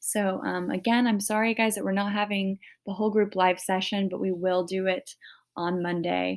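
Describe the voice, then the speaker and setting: Quietly and at a moderate pace, a woman talks in a monotone, flat intonation. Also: medium pitch for a woman. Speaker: teacher. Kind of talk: recorded class announcement. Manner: hesitant, many fillers.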